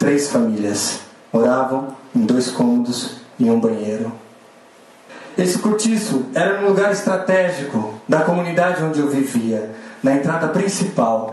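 Against audible room echo and noticeable background noise, a man speaks at a fairly slow pace with a fairly high pitch, very wide pitch swings and very even loudness. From São Paulo periphery. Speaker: social entrepreneur. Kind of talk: inspirational stage talk.

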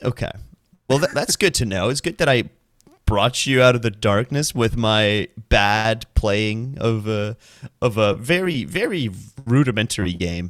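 A man with an American accent speaks at a medium pitch and a fairly slow pace, his intonation lively. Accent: American-sounding English. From Iceland. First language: Icelandic. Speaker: podcast co-host and streamer. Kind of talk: casual chat. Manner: animated.

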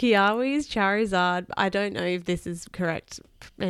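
Ordinary pitch movement in a plain read-aloud delivery

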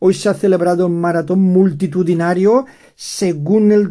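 This man speaks at a very slow pace in a dark, mellow tone with ordinary pitch variation. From Spain, Valencian Community. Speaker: Spanish teacher podcaster. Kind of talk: language lesson reading headlines. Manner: slow and clear for learners.

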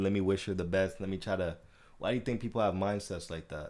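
With fairly even intonation, an unremarkable speaking voice keeps up a fairly quick pace. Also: man. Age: 20s. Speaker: podcast host. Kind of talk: casual chat.

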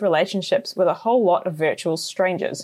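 With a New Zealand accent, a woman speaks at a medium pitch and a fairly quick pace in a very clean recording with a silent background. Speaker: journalist and podcast host. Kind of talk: scripted narration.

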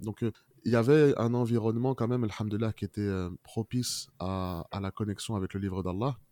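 This man talks at a fairly quick pace with a medium pitch, a dark, mellow tone and fairly even intonation, in a dry, close sound with no echo. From France, Moroccan family. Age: 30s. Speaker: Quran learner. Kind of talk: testimony. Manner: halting, many fillers.

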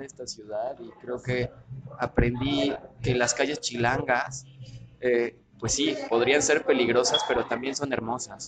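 A man at medium pitch with a Mexico City accent, talking at a very slow pace, music in the background. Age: 30s. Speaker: political communications consultant. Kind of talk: casual interview.

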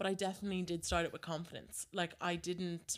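A woman talks at a fairly quick pace with an Irish accent. Her pitch is fairly low. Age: 20s. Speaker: social media influencer. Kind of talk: interview.

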